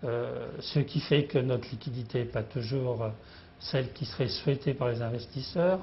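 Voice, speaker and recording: A man's voice has a somewhat breathy sound. He keeps to a fairly slow pace. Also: medium pitch for a man, ordinary pitch variation. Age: 60s. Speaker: company founder and CEO. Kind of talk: business interview. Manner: halting, many hesitations.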